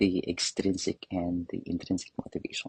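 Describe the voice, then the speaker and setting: A man speaks with a non-native accent in a somewhat breathy voice. The sound is dry and close, with no echo. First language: not English. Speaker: professor and adult English learner. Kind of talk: interview. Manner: hesitant, with fillers.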